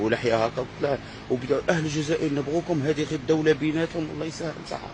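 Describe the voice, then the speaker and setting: Over noticeable background noise, a man with a fairly high pitch talks at a fairly quick pace. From Algeria. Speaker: vlogger. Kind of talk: casual vlog monologue. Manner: animated.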